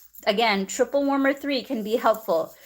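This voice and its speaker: Her voice sits at a fairly high pitch for a woman, with fairly even intonation. The recording is very clean and the background silent. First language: not English. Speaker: acupuncturist. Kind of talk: live-stream tutorial. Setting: live stream.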